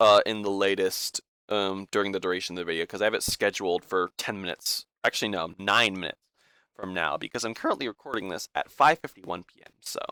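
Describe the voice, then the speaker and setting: Very fast and with big swings in loudness, a man speaks in a fairly low pitch with ordinary variation and a bright, sharp tone, in a dry, close, echo-free recording with a very clean, silent background. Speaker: gaming YouTuber. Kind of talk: casual reaction commentary. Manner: halting, stuttering with many fillers.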